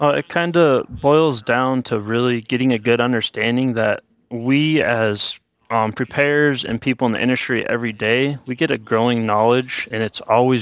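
A man's normal speaking voice at medium pitch against a quiet background. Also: dry, close sound with no echo. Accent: American. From South Dakota, US Midwest. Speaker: accountant. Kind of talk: casual interview.

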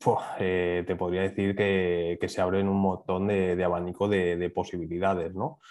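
Speaking at a fairly slow pace with hardly any pauses, a man holds a very deep, low pitch, very even loudness and a monotone, flat intonation. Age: 30s. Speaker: training academy manager and media trader. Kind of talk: podcast interview.

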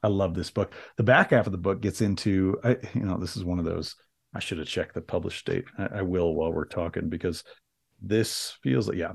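The speaker has a Midwestern American accent and a fairly quick pace. Pitch variation is ordinary. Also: man, very deep, low pitch for a man. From US Midwest (small town, southwest Michigan). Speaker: entrepreneur, public speaker and author. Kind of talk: casual interview chat. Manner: halting, many false starts; engaging speaker.

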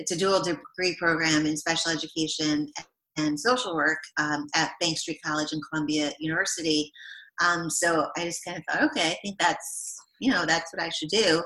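Speaking at a moderate pace, a woman with an American accent uses a plain, everyday voice at a fairly low pitch with ordinary pitch variation. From New York State, Rockland County area. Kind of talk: interview.

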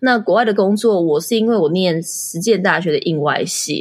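A woman of medium pitch uses a normal speaking voice at a moderate pace. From Taiwan. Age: 30s. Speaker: entrepreneur and blogger. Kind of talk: interview.

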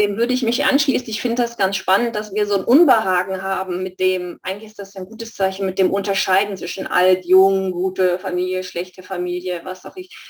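Noticeable background noise accompanies a woman who speaks fairly quickly at a medium pitch with fairly even intonation. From Stuttgart, Germany. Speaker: study group participant. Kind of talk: group discussion.

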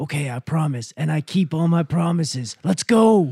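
Putting on a character voice, a man speaks in a fairly high pitch with lively intonation, a dark, mellow tone, vocal fry and a slightly husky edge. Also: moderate pace.

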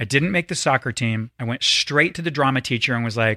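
A man with an American accent talks at a fairly quick pace in a bright, sharp tone. The sound is dry and close with no echo, on a very clean recording with a silent background. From US South. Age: 40s. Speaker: actor. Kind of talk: casual chat.

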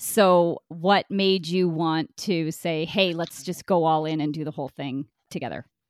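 This woman has an unremarkable speaking voice with a Canadian accent, pitched fairly low and moving at a fairly slow pace with fairly even intonation. The recording is very clean, with a silent background. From Brockville, Ontario, Canada. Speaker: podcast host. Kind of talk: casual chat.

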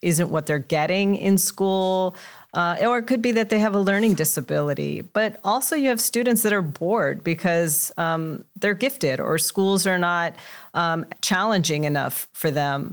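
On a very clean recording with a silent background, a woman speaks at a fairly slow pace with very even loudness and ordinary pitch variation. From Los Angeles, Mexican-American household. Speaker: school district superintendent. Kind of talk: interview. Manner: halting, many fillers.

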